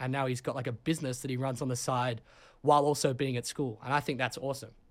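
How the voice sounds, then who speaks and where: A man's fairly high voice in an Australian accent, very fast, on a very clean recording with a silent background. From Sydney, Australia. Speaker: college soccer player. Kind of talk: casual chat.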